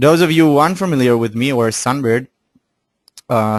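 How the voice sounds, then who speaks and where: A man talks with a non-native accent. The background is quiet, and the sound is dry and close with no echo. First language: not English. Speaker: forex analyst. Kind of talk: webinar. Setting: online webinar. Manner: halting, with fillers and restarts.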